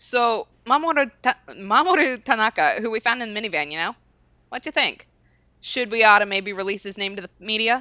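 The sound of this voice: Pitch varies in an ordinary way through an unforced reading voice.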